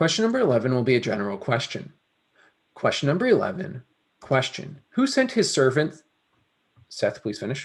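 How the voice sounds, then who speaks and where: Speaking at a fairly quick pace, a man uses vocal fry and very wide pitch swings, broken up by long, frequent pauses. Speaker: Bible quiz moderator. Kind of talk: quiz moderating. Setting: livestream.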